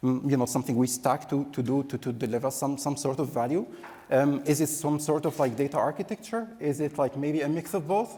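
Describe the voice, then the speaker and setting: A man's fairly high, dark, mellow voice at a fairly quick pace, with ordinary pitch variation and very even loudness. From Egypt. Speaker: conference speaker, analytics professional. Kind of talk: conference talk. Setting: conference stage with audience. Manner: fast.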